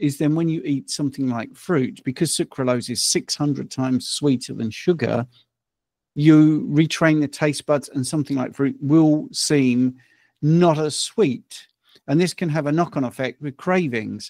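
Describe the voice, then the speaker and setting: The recording has a dry sound with no echo and a quiet background. A man speaks slowly at a fairly high pitch with ordinary pitch variation. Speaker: health and nutrition coach. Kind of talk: casual chat. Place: home room. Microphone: studio mic.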